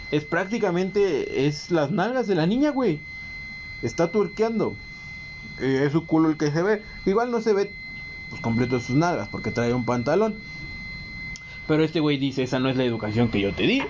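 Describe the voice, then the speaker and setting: With a Mexican accent and a fairly high voice, a man swings his pitch very widely and pauses long and often over noticeable background noise. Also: moderate pace. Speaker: podcast co-host. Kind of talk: casual chat.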